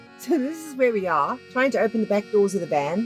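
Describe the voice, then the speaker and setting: With music playing behind her, a woman talks at a fairly high pitch and swings her pitch very widely. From South Africa. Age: 50s. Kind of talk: travel vlog narration.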